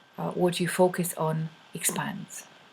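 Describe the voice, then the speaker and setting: A woman with a Polish accent speaks very slowly in a somewhat breathy, fairly low-pitched voice. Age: adult. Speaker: money coach. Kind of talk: video talk to camera. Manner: halting, many fillers.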